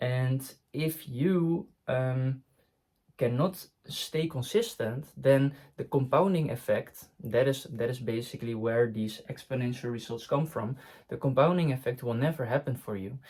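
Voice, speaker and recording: A somewhat breathy voice with a non-native accent, ordinary pitch variation and a fairly slow pace. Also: man, medium pitch for a man. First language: not English. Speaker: online business coach. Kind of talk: talking-head tutorial. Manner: hesitant, frequent fillers and restarts.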